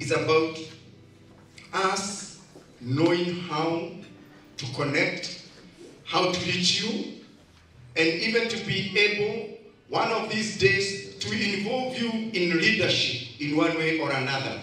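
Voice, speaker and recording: A very slow man's voice, high in pitch with ordinary variation, broken by long, frequent pauses, with audible room echo. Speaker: speaker. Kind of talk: motivational speech. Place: hall.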